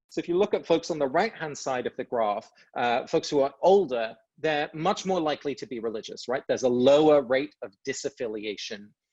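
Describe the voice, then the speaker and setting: The speaker has an English accent and lively intonation at a fairly quick pace. The sound is dry and close, with no echo. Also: man, fairly high pitch for a man. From England. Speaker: author and speaker. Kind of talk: talk to online audience. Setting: video call webinar.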